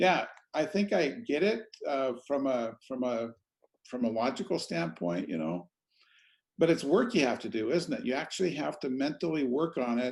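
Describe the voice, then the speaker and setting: With vocal fry and a fairly high pitch, a man talks at a moderate pace, his pitch swinging very widely. He takes long, frequent pauses, and the recording is very clean with a silent background. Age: 60s. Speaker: podcast host. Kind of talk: interview.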